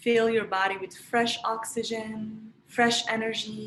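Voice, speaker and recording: A woman with a Moroccan accent talks very slowly in a calm, soothing tone, with fairly even intonation and a fairly high pitch. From Morocco, Marrakesh. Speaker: energy practice teacher, self-care coach. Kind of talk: online workshop, guided energy practice. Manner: calm, soothing guidance.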